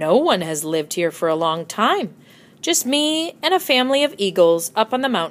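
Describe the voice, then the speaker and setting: In a put-on character voice, this squeaky, fairly high-pitched speaker moves at a moderate pace with very wide pitch swings. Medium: read story. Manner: friendly, welcoming.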